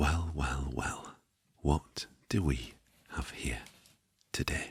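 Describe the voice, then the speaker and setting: Soft-spoken delivery at a very slow pace. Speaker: retro console restorer. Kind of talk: ASMR soft-spoken role play.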